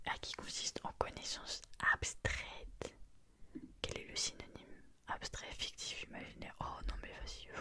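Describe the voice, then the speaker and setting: Whispering at a fairly slow pace. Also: woman. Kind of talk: casual talk to camera. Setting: close mic, late night at home. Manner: whispered, soft-spoken.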